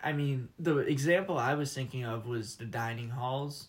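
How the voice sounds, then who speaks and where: With an American accent, a man speaks at a fairly slow pace and medium pitch, somewhat breathy, with ordinary pitch variation. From Michigan. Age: 20s. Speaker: college student. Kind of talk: casual interview.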